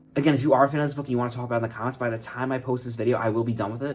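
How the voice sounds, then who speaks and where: Noticeable background noise surrounds a man who talks very fast with ordinary pitch variation. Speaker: writer and YouTuber. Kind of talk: casual vlog.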